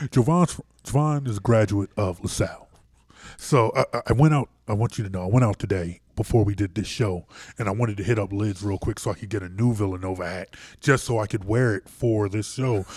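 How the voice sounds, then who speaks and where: In a very clean recording with a silent background, a man with an American accent talks at a fairly quick pace. His voice is somewhat breathy and fairly low, with ordinary pitch variation. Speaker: sports radio host. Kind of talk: casual sports talk. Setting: studio.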